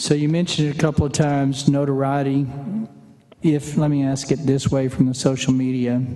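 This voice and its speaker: A man talks at a fairly quick pace in a monotone, flat intonation, with noticeable background noise behind him. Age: 60s. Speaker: state senator. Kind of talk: committee questioning. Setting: senate committee hearing room.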